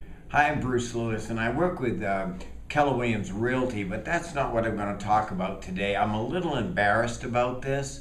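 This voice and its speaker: Over noticeable background noise and audible room echo, a man talks fairly quickly at a medium pitch with lively intonation. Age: 70s. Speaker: storyteller. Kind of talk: tall tale storytelling.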